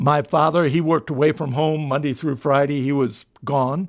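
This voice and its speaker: A man with a fairly high pitch has an unremarkable speaking voice. The recording is very clean, with a silent background. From Delaware, US. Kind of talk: testimony.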